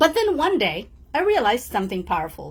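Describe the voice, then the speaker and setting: A woman with a non-native accent speaks with very wide pitch swings. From outside English-speaking world (immigrant). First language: not English. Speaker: motivational coach. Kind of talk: motivational talk. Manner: warm, direct address.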